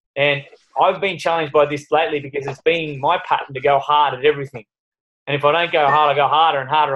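A man at a very fast pace with monotone, flat intonation. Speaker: fitness coach leading a group call. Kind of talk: motivational talk. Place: home room. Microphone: video call.

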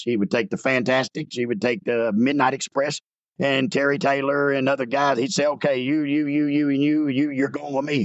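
Here a man with a Southern US accent talks at a fairly quick pace. His intonation stays fairly even. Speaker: former pro wrestler. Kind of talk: casual interview. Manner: loud, projecting.

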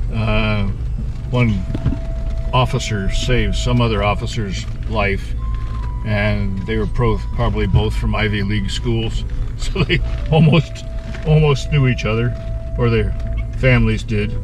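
A very deep, low-pitched man's voice at a fairly slow pace, with noticeable background noise. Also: dry sound with no echo. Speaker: Civil War history guide. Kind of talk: battlefield tour narration. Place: car. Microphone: phone near.

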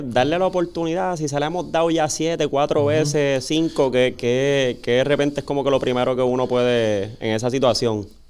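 A man with a fairly high voice talks at a fairly quick pace, his pitch moving in an ordinary way, with hardly any pauses. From Puerto Rico. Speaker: podcast host. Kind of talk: interview. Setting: studio. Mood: relaxed, smiling. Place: studio. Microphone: studio mic.

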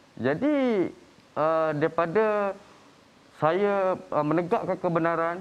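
A man speaks very slowly in a high voice with ordinary pitch variation. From Malaysia. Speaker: son-in-law; talk show guest. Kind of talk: testimony. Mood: aggrieved, recounting family conflict. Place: studio. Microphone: lapel.

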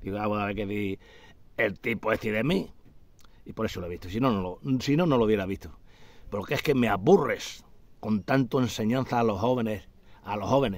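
Fairly low-pitched, a man talks at a fairly quick pace with ordinary pitch variation and long, frequent pauses, in a dry sound with no echo. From Extremadura, Spain (Garrovillas de Alconétar, Cáceres); Extremadura, Spain. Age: 60s. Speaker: retired hunter vlogger. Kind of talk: casual monologue. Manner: animated. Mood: indignant, complaining. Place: garden. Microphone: phone near.

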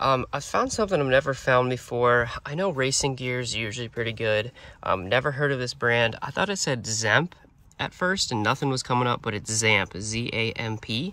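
A man in a bright, sharp tone at a moderate pace, with dry sound with no echo. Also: ordinary pitch variation. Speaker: reseller vlogger. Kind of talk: casual vlog chat. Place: car. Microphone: phone near.

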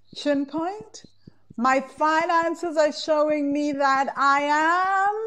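Against a quiet background, a woman speaks very slowly in a high voice. Her tone is bright and sharp, with ordinary pitch variation. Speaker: course founder and money coach. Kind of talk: guided EFT tapping meditation, leading students through statements. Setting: live class recording replay. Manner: calm, slow, soothing; instructive, repetitive phrasing. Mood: emotional, slow, affirming. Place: home room. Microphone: earbuds.

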